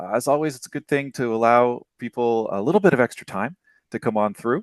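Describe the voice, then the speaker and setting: Against a quiet background, a man with a North American accent speaks at a medium pitch and a fairly quick pace with ordinary pitch variation, the sound dry and close with no echo. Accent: generic North American. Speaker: developer relations manager and webinar host. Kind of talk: live webinar presentation. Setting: live online webinar.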